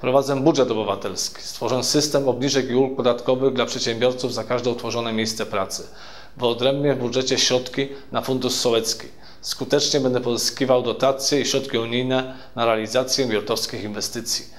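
Monotone, flat intonation carries speech delivered at a fairly quick pace. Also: man. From Bierutów, Lower Silesia, Poland; Lower Silesia, Poland. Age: 40s. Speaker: local election candidate; election candidate. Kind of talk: campaign speech. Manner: formal. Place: studio.

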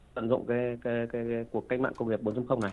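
A man is speaking. His pace is very fast. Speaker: technology company executive. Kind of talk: interview answer. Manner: halting, with fillers.

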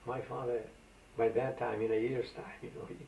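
A man's voice at a moderate pace, with light background noise and audible room echo. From Aegean Macedonia, northern Greece; Greece. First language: Macedonian. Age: 80s. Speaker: elderly immigrant interviewee; interviewee. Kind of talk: oral history interview; interview answer. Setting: at home. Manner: animated storyteller. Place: home room.

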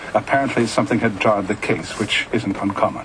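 Noticeable background noise behind a man speaking at a fairly quick pace. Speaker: radio host. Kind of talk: story reading. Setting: radio broadcast.

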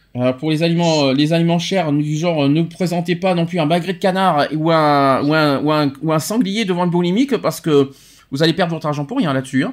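In a plain, everyday voice, a man speaks fairly quickly at a fairly high pitch with ordinary pitch variation. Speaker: radio show host. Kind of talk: casual chat. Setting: studio.

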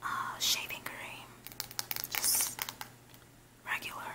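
Noticeable background noise fills the recording. Through it comes whispering at a very slow pace. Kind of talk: ASMR haul. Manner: whispered.

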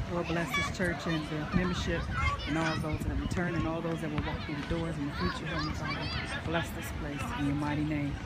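A woman with an American accent talks at a moderate pace over loud background noise. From US Midwest, Indiana. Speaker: minister. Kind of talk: fervent prayer, intercessory, pleading and devout, with a sermon-like cadence. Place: open country.

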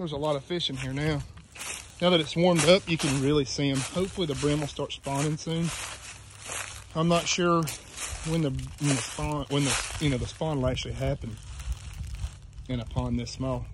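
A man at a fairly quick pace, dry sound with no echo, and noticeable background noise. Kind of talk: casual vlog chat. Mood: relaxed, easygoing. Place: waterside. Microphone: phone near.

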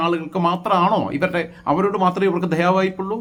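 A man talks at a high pitch. Noticeable background noise sits behind him. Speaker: YouTube political commentator. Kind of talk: opinion monologue. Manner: halting, with fillers.

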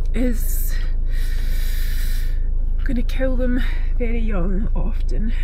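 Over noticeable background noise, a woman speaks very slowly with long, frequent pauses, her high pitch held in fairly even intonation and the sound dry with no echo. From Scotland. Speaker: animal sanctuary owner. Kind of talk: casual talk to camera. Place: car. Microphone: phone near.

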